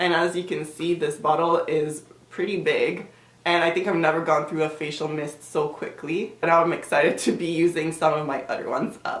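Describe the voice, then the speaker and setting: Fairly quick and fairly even in intonation, a woman speaks at a fairly low pitch. Audible room echo and noticeable background noise are present. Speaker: beauty vlogger. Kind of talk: product review vlog. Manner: casual, with fillers.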